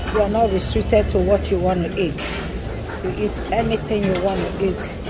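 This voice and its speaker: The speaker holds a moderate pace. Clear music can be heard behind the voice. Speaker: diner vlogger. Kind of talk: casual vlog chat. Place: shop. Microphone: phone near.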